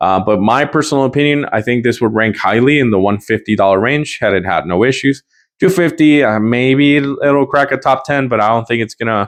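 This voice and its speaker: Over a quiet background, a man talks at a fairly quick pace with ordinary pitch variation and very even loudness. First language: not English. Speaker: guitar gear reviewer. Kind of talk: product review. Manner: casual, hesitant with fillers.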